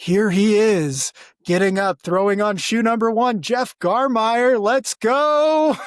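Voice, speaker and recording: Putting on a character voice, a man speaks high for a man at a fairly slow pace with very even loudness. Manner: excited play-by-play.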